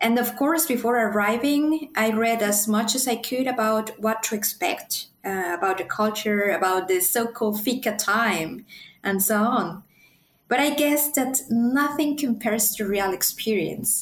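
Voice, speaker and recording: A woman's somewhat breathy, fairly high voice in a Spanish accent, fairly slow and very even in loudness. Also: ordinary pitch variation. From Mexico City. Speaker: PhD student. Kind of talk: interview.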